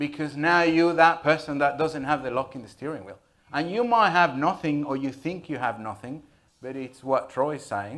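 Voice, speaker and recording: Recorded very cleanly over a silent background, a man with a Spanish accent and a fairly high pitch talks at a moderate pace with big swings in loudness. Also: ordinary pitch variation. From Venezuela. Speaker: IT security business owner. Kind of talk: panel discussion.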